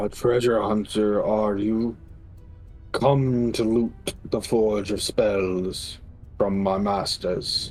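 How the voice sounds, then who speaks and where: A guttural, put-on character voice at a very slow pace over clear background music. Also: man, fairly low pitch for a man. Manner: guarded, suspicious.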